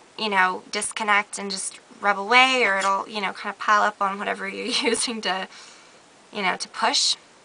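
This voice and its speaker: Over noticeable background noise, a woman at medium pitch talks at a moderate pace with fairly even intonation. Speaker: beauty vlogger. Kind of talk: casual talk to camera.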